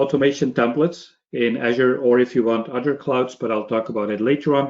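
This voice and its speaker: A man with a Belgian accent at a moderate pace. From Belgium. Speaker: cloud technology trainer. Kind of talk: webinar presentation.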